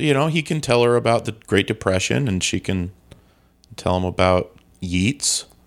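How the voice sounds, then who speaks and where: A man with a plain, everyday voice speaks at a moderate pace in a fairly low pitch with lively intonation. The recording is very clean, with a silent background. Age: 40s. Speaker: podcast co-host. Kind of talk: casual chat.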